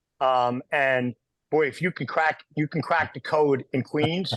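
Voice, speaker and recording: A man speaks with a New York accent and fairly even intonation. The sound is dry and close, with no echo. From New York, Italian-American. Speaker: podcast co-host. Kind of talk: podcast conversation. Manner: fast.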